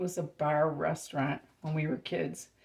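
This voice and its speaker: A woman speaks very slowly at a very deep, low pitch. Her tone is dark and mellow, with vocal fry. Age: 60s. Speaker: home cooking channel host. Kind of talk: cooking tutorial. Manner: casual, chatty.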